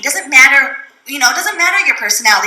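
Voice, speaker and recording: Over noticeable background noise, a woman uses a raised, projected voice with lively intonation. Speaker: direct sales trainer. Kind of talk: training talk to live audience. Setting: room with live audience. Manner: fast; bubbly, animated.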